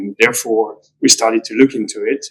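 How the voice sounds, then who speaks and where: At a moderate pace, a man talks with a non-native accent. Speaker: property developer. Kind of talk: conference talk. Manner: hesitant, many fillers.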